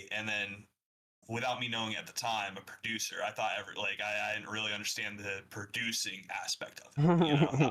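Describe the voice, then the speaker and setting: Here is a man with an American accent and a medium pitch. His tone is bright and sharp. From US South, Atlanta. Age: 20s. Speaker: music producer and DJ. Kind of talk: podcast interview. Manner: hesitant, many fillers.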